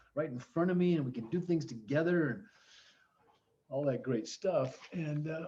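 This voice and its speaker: A man speaks at a moderate pace in a fairly high, somewhat breathy voice with a dark, mellow tone and ordinary pitch variation. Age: 70s. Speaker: teacher. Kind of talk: online class. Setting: video call.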